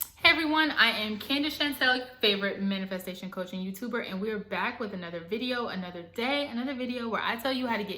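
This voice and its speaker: With audible room echo and noticeable background noise, a woman speaks in a fairly high, animated voice with lively intonation. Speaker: manifestation coach and YouTuber. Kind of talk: tutorial.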